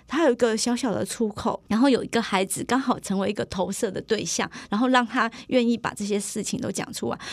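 High-pitched woman's voice at a fairly quick pace. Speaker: primary school teacher. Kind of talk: casual interview. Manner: soft-spoken.

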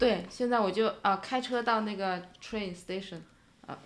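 In a room with audible echo, a woman talks with ordinary pitch variation. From China, Shanghai. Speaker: immigrant parent. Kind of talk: casual chat.

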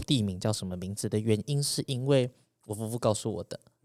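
A man with a normal speaking voice talks at a fairly quick pace with ordinary pitch variation. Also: dry, close sound with no echo, very clean recording, silent background. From Taiwan, urban. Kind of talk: interview.

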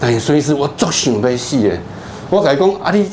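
An animated man speaks with very wide pitch swings. Noticeable background noise and audible room echo fill the recording. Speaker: psychiatrist. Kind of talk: lecture. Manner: storytelling, animated.

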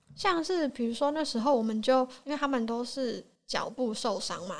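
With an unremarkable speaking voice, a woman talks at a fairly quick pace with ordinary pitch variation. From Taiwan. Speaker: podcast guest. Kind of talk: casual chat.

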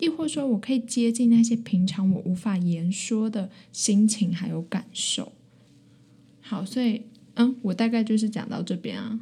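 This woman has a fairly high pitch and speaks with a Taiwanese accent. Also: ordinary pitch variation, moderate pace. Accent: Taiwanese Mandarin. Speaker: university student podcaster. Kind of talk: casual chat. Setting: small room in a library.

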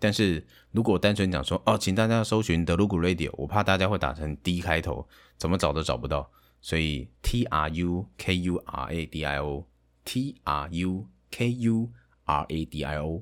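Vocal fry is present in this voice. Its intonation is lively. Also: man. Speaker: game streamer and aspiring voice actor. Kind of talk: casual monologue. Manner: halting, with fillers.

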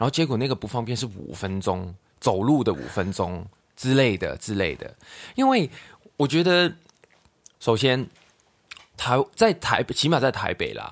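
A man with a medium pitch speaks at a fairly slow pace, leaving long, frequent pauses. His pitch swings very widely. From Hong Kong. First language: Cantonese (speaking Chinese). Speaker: podcast host. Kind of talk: casual chat. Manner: halting.

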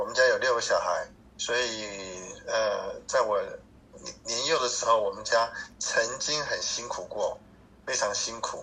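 Noticeable background noise sits behind a man who speaks at a fairly slow pace with long, frequent pauses. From Taiwan (Hsinchu). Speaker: cancer patient, church volunteer. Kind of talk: interview. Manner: halting, frequent fillers and stutters; gentle, mild-mannered.

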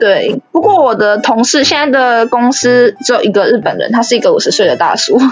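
At a fairly quick pace, a high-voiced woman speaks with lively intonation and very even loudness over noticeable background noise. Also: hardly any pauses. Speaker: office worker in Japan. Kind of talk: casual interview.

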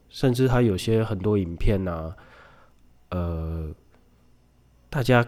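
With music in the background, a man talks at a fairly slow pace with ordinary pitch variation. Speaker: podcast host. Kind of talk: casual solo monologue, unscripted. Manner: odd speech rate and rhythm; hesitant, many fillers.

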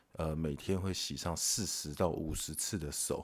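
On a very clean recording with a silent background, a man with a Taiwanese accent talks at a fairly slow pace with ordinary pitch variation. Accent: Taiwanese Mandarin. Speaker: podcast host. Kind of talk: casual monologue. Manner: animated; filler-heavy.

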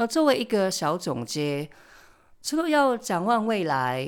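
A woman talks at a fairly slow pace, her pitch swinging very widely. The recording is very clean, with a silent background. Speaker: podcast host, tarot reader and family constellation facilitator. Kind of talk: solo podcast monologue.

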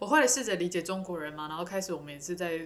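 With a Taiwanese accent, a woman speaks at a very fast pace. Her pitch is fairly low, with ordinary pitch variation. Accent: Taiwanese Mandarin. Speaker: podcast co-host. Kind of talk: casual chat.

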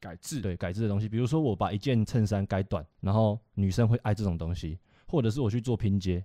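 Fairly low-pitched man's voice of dark, mellow tone, fairly quick with hardly any pauses and ordinary pitch variation, on a very clean recording with a silent background and a dry, close sound with no echo. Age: 20s. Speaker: young entrepreneur, vintage clothing seller. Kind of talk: casual chat.

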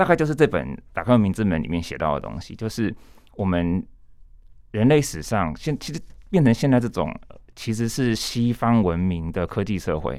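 The recording is very clean, with a silent background. A man with a fairly low pitch speaks at a moderate pace, his pitch swinging very widely. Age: young. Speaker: author and translator. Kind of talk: casual interview.

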